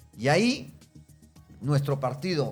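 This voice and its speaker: A man speaks very slowly in a somewhat breathy voice. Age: 60s. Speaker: retired police general and Senate candidate. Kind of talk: interview.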